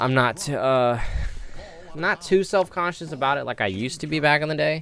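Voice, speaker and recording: Music plays behind a man whose lively intonation moves at a fairly quick pace. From Vietnam. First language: Vietnamese. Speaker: game developer and commentary youtuber. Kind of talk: casual gameplay commentary. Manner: halting, many ums and pauses.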